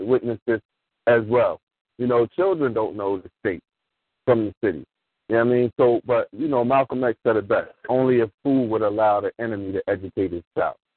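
A man talks at a moderate pace in an ordinary speaking voice, medium in pitch with ordinary pitch variation. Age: 40s. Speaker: former school teacher and youth mentor. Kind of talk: call-in radio discussion.

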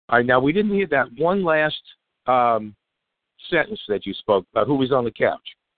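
Pausing often and at length, a man speaks with very wide swings in pitch. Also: fairly high pitch for a man, moderate pace. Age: old. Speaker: radio host. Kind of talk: interview. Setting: phone call.

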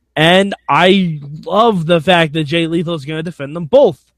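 This man has a high pitch and ordinary pitch variation, and he talks at a fairly slow pace. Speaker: wrestling podcast host. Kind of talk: casual chat about wrestling.

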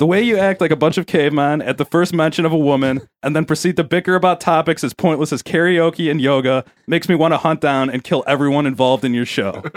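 A man with an American accent talks very fast in a fairly high voice with ordinary pitch variation, very even loudness and hardly any pauses. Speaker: podcast co-host and producer. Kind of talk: casual chat.

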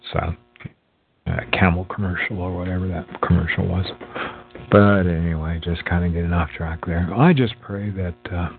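A man speaks with a very deep, low pitch and fairly even intonation. His pace is moderate, with music in the background. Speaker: religious podcast host. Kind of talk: devotional talk. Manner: halting.

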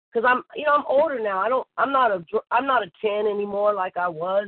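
Using an unremarkable speaking voice, a woman talks at a fairly quick pace with ordinary pitch variation. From US West Coast, Bay Area (Oakland). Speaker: targeted-individual interviewee, former Navy. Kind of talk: casual interview.

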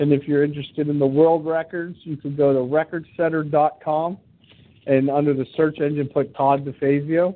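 The speaker has an American accent and an unremarkable speaking voice. The pace is moderate. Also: man. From Pittsburgh, Pennsylvania. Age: 40s. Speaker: radio host and stunt performer. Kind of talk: interview.

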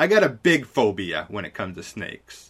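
A man's bright, sharp voice with vocal fry, very wide pitch swings and a moderate pace. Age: 20s. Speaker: podcast host. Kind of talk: casual chat, talk radio style. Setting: recorded live, unedited. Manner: informal, filler words, self-correcting.

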